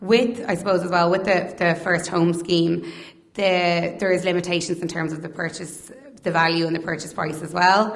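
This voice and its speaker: Speaking with an Irish accent, a woman keeps a fairly low pitch, fairly even intonation and a moderate pace. Audible room echo and noticeable background noise surround her. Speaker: mortgage advisor. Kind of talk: presentation to audience. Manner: halting, stuttering.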